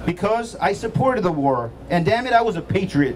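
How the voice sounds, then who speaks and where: The tone is animated, with very wide pitch swings at a moderate pace. Light background noise sits underneath. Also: man. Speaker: physician and state chapter president, rally speaker. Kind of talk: rally speech. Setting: outdoor rally with crowd. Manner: animated, oratorical; rhetorical, emphatic. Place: street.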